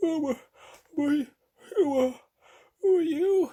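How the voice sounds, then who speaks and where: A man uses a put-on character voice at an extremely high pitch. He speaks at a fairly slow pace. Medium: read story. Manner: slow, drowsy.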